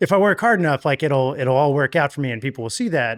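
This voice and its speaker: With lively intonation and an American accent, a man is heard in dry, close sound with no echo, on a very clean recording with a silent background. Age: 30s. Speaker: musician. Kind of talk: casual interview chat.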